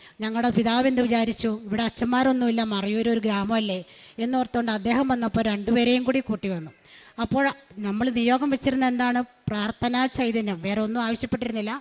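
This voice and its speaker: A woman with a fairly high pitch speaks in a plain, everyday voice with fairly even intonation. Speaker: retired teacher. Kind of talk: religious testimony. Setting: church altar.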